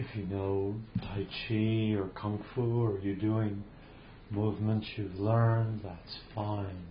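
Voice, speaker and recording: A man speaks at a very slow pace in a fairly low pitch, his flat, monotone delivery calm and soothing and somewhat breathy. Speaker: meditation teacher. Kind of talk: guided meditation. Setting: video call. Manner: slow, calm, soothing with long pauses; gentle, invitational.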